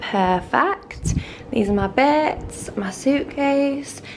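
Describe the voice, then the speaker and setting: Someone with a British accent speaks with lively intonation over noticeable background noise. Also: woman. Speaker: travel vlogger. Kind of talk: casual vlog talk to camera. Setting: hotel room and resort, handheld camera. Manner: rambling, animated.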